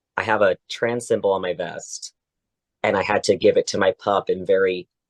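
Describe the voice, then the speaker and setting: A man talks at a fairly quick pace with an American accent. The sound is dry and close, with no echo. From Oklahoma, US. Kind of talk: casual interview. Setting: podcast.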